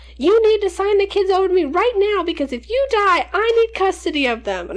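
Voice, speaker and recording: Shouting in a panicked tone at a fairly quick pace, a woman uses a put-on character voice at an extremely high pitch over light background noise. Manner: screaming, panicked.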